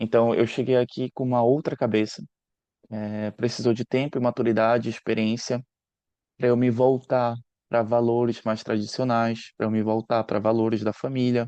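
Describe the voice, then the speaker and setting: Over a quiet background, a man at medium pitch speaks at a moderate pace in a dark, mellow tone with monotone, flat intonation, the sound dry and close with no echo. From northern Brazil, Belém do Pará. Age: 30s. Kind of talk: short talk/presentation. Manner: hesitant, many fillers and repetitions.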